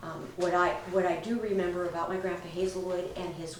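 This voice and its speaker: Recorded with audible room echo and noticeable background noise, a woman speaks at a fairly low pitch in a Pacific Northwest accent. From Washington State, Bremerton. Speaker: family storyteller. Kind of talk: oral history recollection. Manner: halting, many fillers.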